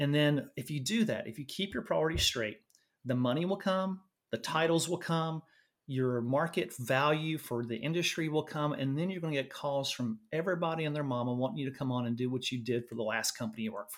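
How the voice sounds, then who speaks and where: Talking at a fairly quick pace, a man with a Southern US accent comes through on a very clean recording with a silent background. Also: fairly high pitch for a man, ordinary pitch variation. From Louisiana, US South. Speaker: nurse and medtech executive. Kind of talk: interview.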